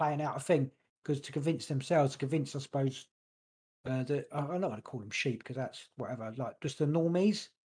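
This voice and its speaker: In a London accent, a man talks at a very fast pace, somewhat breathy and fairly high in pitch with ordinary pitch variation, over a quiet background. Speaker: podcast co-host. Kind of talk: casual chat. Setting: home studio, livestream.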